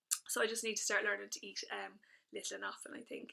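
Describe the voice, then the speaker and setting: A woman talks at a fairly quick pace with an Irish accent. Her pitch is fairly high, and vocal fry creeps into her voice. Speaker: fitness instructor vlogger. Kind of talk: casual video update. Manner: hesitant with fillers.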